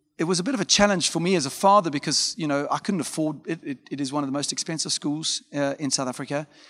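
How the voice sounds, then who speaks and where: An ordinary speaking voice comes at a fairly quick pace with ordinary pitch variation, on a very clean recording with a silent background. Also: man. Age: 40s. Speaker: pastor. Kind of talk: sermon. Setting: pre-recorded talking to camera.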